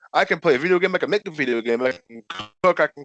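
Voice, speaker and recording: A mumbling man with a high-pitched voice, recorded with a dry, close sound and no echo. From Connecticut. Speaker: professional wrestler. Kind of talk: casual interview. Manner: stutters and mumbles.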